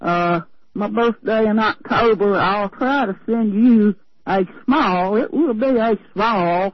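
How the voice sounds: The speaker talks at a slow pace in a Southern US accent, with ordinary pitch variation. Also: woman. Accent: Southern US drawl.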